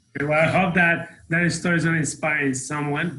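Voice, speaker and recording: A man speaks at a very fast pace with a Mexican accent. His pitch is fairly high. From Mexico City, Mexico. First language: Spanish. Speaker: real estate team leader. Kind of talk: podcast interview.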